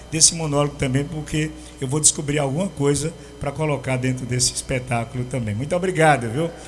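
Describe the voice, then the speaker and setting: A man speaks over noticeable background noise. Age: 60s. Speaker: radio host. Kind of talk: interview. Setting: radio studio.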